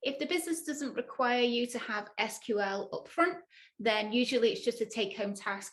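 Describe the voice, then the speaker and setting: With a northern English accent, a woman speaks at a moderate pace in a high pitch with lively intonation. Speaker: data analyst and tech educator. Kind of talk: tutorial.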